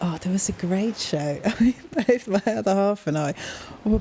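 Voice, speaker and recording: Against noticeable background noise, a woman with a medium pitch speaks in a relaxed tone, her pitch swinging very widely. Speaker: gaming youtuber. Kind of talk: casual gameplay chat. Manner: relaxed, slow-paced.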